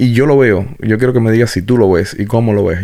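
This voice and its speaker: A man speaks at a medium pitch. Noticeable background noise accompanies him. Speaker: podcast host. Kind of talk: casual interview.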